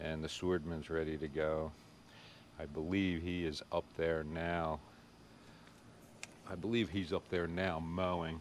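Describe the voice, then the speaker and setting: A man with an American accent speaks slowly in a very deep, low, monotone, flat voice at very even loudness. Long, frequent pauses fill his fairly slow delivery. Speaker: lawn care YouTuber. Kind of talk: casual vlog tutorial. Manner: hesitant, many fillers.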